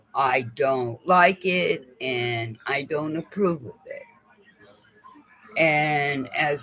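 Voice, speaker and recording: Over noticeable background noise, a man with a fairly high pitch speaks at a very slow pace, with big swings in loudness and ordinary pitch variation. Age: 60s. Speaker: vlogger. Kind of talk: personal monologue vlog. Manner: halting, repetitive.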